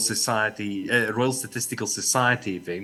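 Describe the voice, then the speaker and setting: Using a bright, sharp tone, a man with a South African accent speaks at medium pitch and a moderate pace. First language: Afrikaans. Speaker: academic researcher. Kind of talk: conference presentation. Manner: halting, repeats words.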